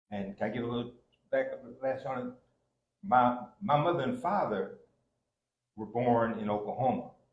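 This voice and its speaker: A somewhat breathy man with an American accent, medium pitch, big swings in loudness, a moderate pace and long, frequent pauses. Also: lively intonation. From Kansas, US. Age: 70s. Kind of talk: personal storytelling in panel discussion. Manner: halting.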